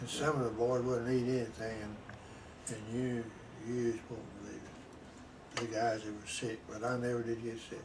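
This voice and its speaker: The speaker has a Southern US accent, a moderate pace, long, frequent pauses and monotone, flat intonation. Audible room echo and noticeable background noise are present. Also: man, medium pitch for a man. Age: 80s+. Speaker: war veteran. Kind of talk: interview. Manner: halting.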